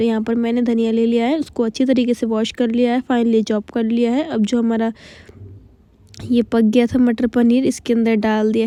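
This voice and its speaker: A woman with a fairly high pitch and a dark, mellow tone speaks at a moderate pace in a monotone, flat intonation. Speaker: vlogger. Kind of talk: cooking vlog voiceover. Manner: casual.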